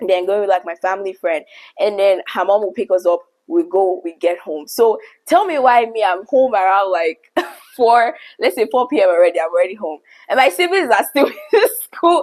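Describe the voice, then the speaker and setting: A woman talks at a moderate pace with lively intonation and a medium pitch. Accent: Nigerian. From Nigeria, Lagos. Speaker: YouTuber. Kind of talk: storytelling monologue.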